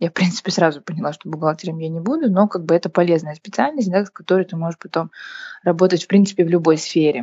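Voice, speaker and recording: The speaker has a plain, everyday voice. Pitch variation is ordinary. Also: woman. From Kazakhstan, Karaganda. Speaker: entrepreneur. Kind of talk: casual interview chat.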